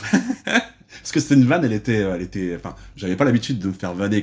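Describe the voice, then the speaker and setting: A man talks at a very fast pace, his pitch rising and falling in an ordinary way. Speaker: podcast host interviewer. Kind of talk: casual interview chat. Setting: indoors on a sofa, dim light.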